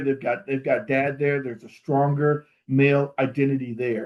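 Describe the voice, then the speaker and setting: An unremarkable speaking voice delivers the words at a moderate pace. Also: man. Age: 60s. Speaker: fatherhood program leader, conference speaker. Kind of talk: conference keynote presentation.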